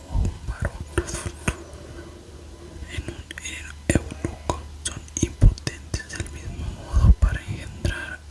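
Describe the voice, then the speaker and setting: Very slow whispering amid noticeable background noise. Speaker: ASMR creator. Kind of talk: ASMR reading of philosophy text for sleep. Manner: whispered; soft-spoken, relaxing.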